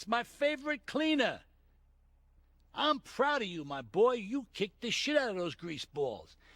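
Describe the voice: A put-on character voice with a fairly bright tone, big pitch swings and a fairly slow pace. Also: man, extremely high pitch for a man.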